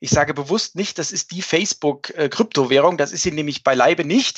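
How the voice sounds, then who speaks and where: His pitch moves in an ordinary way. The man keeps a moderate speed. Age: 50s. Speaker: fund manager. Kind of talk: podcast discussion.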